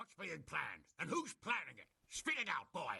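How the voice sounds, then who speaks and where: A man does a put-on character voice at a high pitch and a moderate pace. The sound is dry and close with no echo, and his loudness swings widely. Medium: video game. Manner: blunt, loud, profane.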